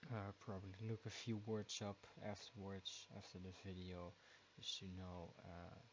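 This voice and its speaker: The speaker has a Dutch accent and a fairly slow pace. The intonation stays monotone and flat. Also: man, fairly low pitch for a man. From Netherlands. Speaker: YouTube reaction video creator. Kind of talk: casual chat. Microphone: too quiet at first.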